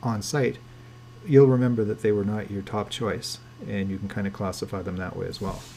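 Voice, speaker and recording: With audible room echo, a somewhat breathy voice of dark, mellow tone speaks fairly quickly with fairly even intonation. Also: man. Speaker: landlord trainer. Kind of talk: webinar lecture. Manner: fast.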